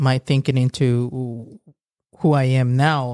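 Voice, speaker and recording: Recorded dry and close with no echo, a man in a Guatemalan accent speaks with a fairly high pitch and monotone, flat intonation. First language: Spanish. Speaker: video and audio producer. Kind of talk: interview. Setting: studio. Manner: halting.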